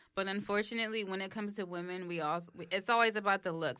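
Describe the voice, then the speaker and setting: Talking very fast in a New York accent, a woman has a bright, sharp tone and ordinary pitch variation. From New York, the Bronx. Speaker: podcast co-host. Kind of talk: casual chat.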